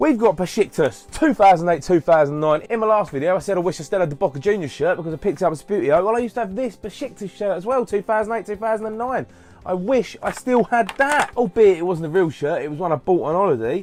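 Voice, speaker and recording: With music in the background, a man with a high pitch talks very fast in an animated tone, using lively intonation and hardly any pauses. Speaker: YouTube hobby vlogger. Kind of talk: casual unboxing vlog.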